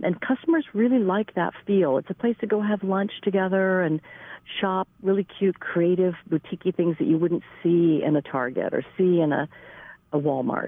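With an ordinary speaking voice, a woman at medium pitch talks at a moderate pace, her intonation lively and her loudness very even. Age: 60s. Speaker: gallery owner. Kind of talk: interview.

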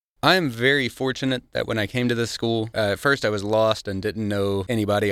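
Talking at a fairly quick pace, a man with a Missouri accent keeps his intonation fairly even. The recording is very clean, with a silent background. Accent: Midwestern American (Missouri). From Missouri, Cape Girardeau County. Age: 30s. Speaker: student and navy veteran. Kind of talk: radio interview.

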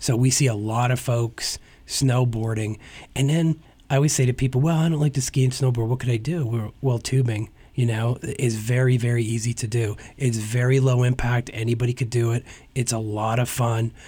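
Somewhat breathy with a dark, mellow tone, the speaker talks at a fairly quick pace with an American accent, fairly even intonation and very even loudness on a very clean recording with a silent background. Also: man, medium pitch for a man. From northeastern Pennsylvania (Hazleton). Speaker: tourism bureau executive. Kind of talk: radio interview.

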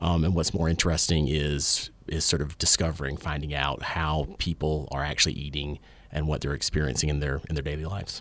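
A man's very deep, low voice with vocal fry, monotone and flat, at a fairly quick pace with hardly any pauses. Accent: Southern US. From US South, rural. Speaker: historian and radio show co-host. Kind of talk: casual chat. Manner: halting, many repeated words.

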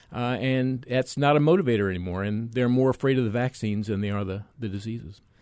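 Talking at a very fast pace, a man with an American accent keeps a medium pitch and ordinary pitch variation. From US mainland. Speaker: physician and vaccine expert. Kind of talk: radio interview.

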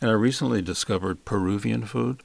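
A man with a fairly low pitch and an American accent at a moderate pace, a normal speaking voice, on a very clean recording with a silent background. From US South, Alabama. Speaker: conductor and flute professor. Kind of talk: interview.

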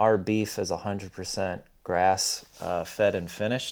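On a very clean recording with a silent background, a man with an American accent speaks very slowly in a very deep, low pitch with fairly even intonation. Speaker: farmer. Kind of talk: radio interview.

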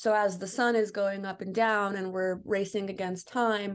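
This woman has a plain, everyday voice with an American accent. Her pitch sits in the middle and her intonation stays fairly even. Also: quiet background. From Chicago, US Midwest. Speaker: filmmaker. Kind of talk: interview.

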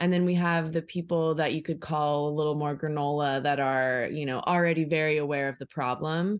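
Fairly quick, fairly even speech with an American accent, hardly any pauses and a quiet background. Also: woman, very deep, low pitch for a woman. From Orange County, California. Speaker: refill store owner. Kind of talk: casual chat.

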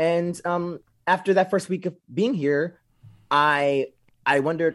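Recorded very cleanly against a silent background, a man uses an unremarkable speaking voice, fairly high in pitch with ordinary variation, at a moderate pace. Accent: American. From US South, southeast Texas near Louisiana. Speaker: community organizer. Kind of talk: interview.

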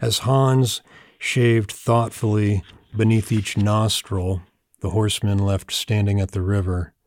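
A man with a plain, everyday voice and an American accent, fairly low in pitch, at a fairly slow pace with fairly even intonation, dry and close with no echo, on a very clean recording with a silent background. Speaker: poet. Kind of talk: poetry reading, read aloud from the page. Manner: deadpan, dry storytelling delivery.

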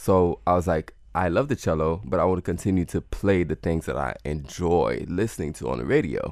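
Vocal fry and lively intonation come with hardly any pauses in a very clean recording with a silent background. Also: man, very deep, low pitch for a man, fairly quick pace. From Haiti. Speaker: improvisational cellist and music teacher. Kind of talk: casual interview. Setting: studio.

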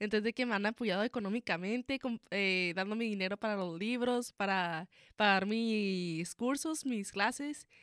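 Delivered at a fairly slow pace with hardly any pauses and ordinary pitch variation, the speech comes in a very clean recording with a silent background. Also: woman, medium pitch for a woman. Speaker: nursing student. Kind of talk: radio interview. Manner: halting.

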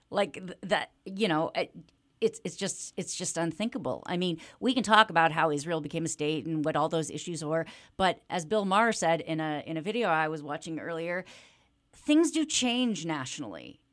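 A woman with a normal speaking voice talks at a moderate pace, fairly low in pitch with ordinary pitch variation, on a very clean recording with a silent background. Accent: American. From US Midwest (Kansas City) and Toronto. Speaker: rabbi. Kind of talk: interview. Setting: studio.

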